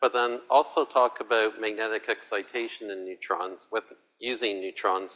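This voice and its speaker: On a very clean recording with a silent background, a man talks at a moderate pace and medium pitch, his bright, sharp tone carrying fairly even intonation. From Canada. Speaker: physicist, university researcher. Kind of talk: lecture.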